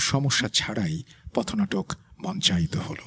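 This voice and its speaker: In a dry, close sound with no echo, a man with a somewhat breathy voice makes very wide pitch swings. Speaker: radio host. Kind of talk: horror story narration.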